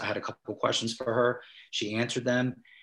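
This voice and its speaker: With an American accent, a man talks at a very fast pace. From South New Jersey. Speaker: digital marketing business owner. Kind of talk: interview. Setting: video call.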